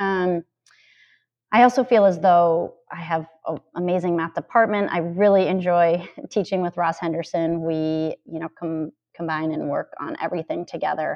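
A woman with an American accent, fairly low-pitched, an unremarkable speaking voice at a moderate pace, with big swings in loudness. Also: fairly even intonation. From Minnesota, US Midwest. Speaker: middle school administrator and math teacher. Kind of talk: interview.

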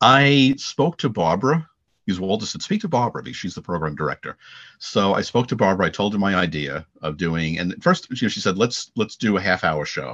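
This man has an American accent and a fairly low pitch, moving at a fairly quick pace with very wide pitch swings. The sound is dry and close, with no echo. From Long Island, New York. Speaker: former college radio announcer. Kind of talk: casual interview. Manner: halting.

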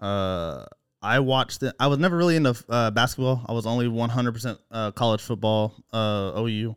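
A man's unremarkable speaking voice with an American accent, medium pitch and ordinary pitch variation, at a fairly quick pace, in a very clean recording with a silent background. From Oklahoma. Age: 20s. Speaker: podcast listener, guest. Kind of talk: casual chat. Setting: man cave at home.

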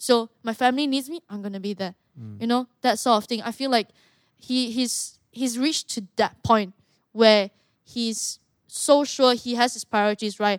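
A plain, everyday voice, with ordinary pitch variation and big swings in loudness, sounds dry and close with no echo. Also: woman, fairly high pitch for a woman, moderate pace. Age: 20s. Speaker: mixed martial artist. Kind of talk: casual chat.

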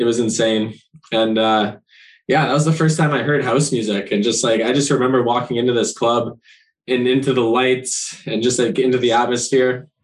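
An ordinary speaking voice with a Canadian accent moves at a moderate pace. Loudness stays very even, and the intonation is fairly even. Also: man, medium pitch for a man. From Ontario, Canada (Brampton). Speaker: DJ. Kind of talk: casual interview chat.

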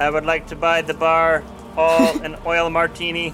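Using a put-on, robotic character voice pitched high, a man speaks at a moderate pace with clear background noise. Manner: flat, mechanical.

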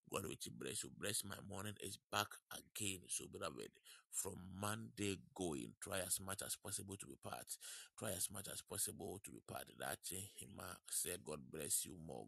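On a dry, close recording with no echo, a man with a very deep, low voice and vocal fry speaks at a moderate pace, his tone both warm and bright and sharp, his intonation lively. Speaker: online prayer broadcast host. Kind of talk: worship, prayer and announcements. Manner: warm, fervent, repetitive.

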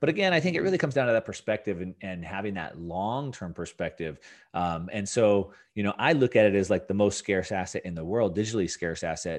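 Talking at a very fast pace against a quiet background, a man with a Californian accent uses a fairly low voice and lively intonation. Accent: General American (California). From Southern California. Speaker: finance and Bitcoin commentator. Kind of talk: interview.

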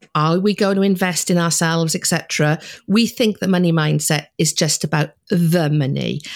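A woman with a Welsh accent talks at a moderate pace in a fairly low pitch, her intonation fairly even, on a very clean recording with a silent background. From Wales. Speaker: money mindset coach. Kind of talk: interview.

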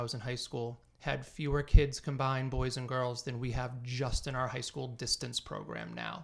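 A man with an American accent, medium in pitch, monotone and flat in intonation, at a moderate pace. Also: very clean recording, silent background. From Massachusetts, North Andover. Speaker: teacher and track coach. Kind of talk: casual chat.

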